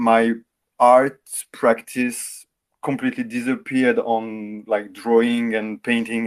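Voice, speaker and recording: On a very clean recording with a silent background, a man with a French accent speaks at a medium pitch in monotone, flat intonation. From France. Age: 40s. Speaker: in-game photographer. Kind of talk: interview. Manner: halting, repeats words.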